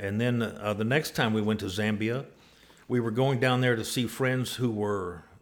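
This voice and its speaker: Speaking with a West Texas accent, a man uses a fairly low pitch and fairly even intonation. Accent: West Texas drawl. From West Texas (Abilene). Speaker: church member, former overseas missionary builder. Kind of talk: interview, personal storytelling. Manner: halting, many filler words.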